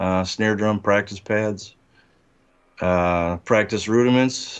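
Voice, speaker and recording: A very slow, fairly even delivery over a quiet background. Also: man, fairly low pitch for a man. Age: 60s. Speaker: rock drummer. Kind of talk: interview. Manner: halting, many fillers.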